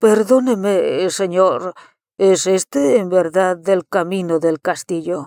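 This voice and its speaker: Put-on character voice at middle pitch and a fairly slow pace. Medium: read story. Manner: terse, polite, reserved.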